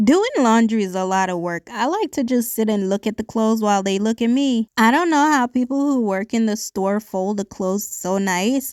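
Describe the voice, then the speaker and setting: Speaking at a moderate pace with hardly any pauses, a woman uses a fairly high pitch and ordinary pitch variation on a very clean recording with a silent background. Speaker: lifestyle vlogger. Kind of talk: casual vlog voice-over. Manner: speaking without her usual accent.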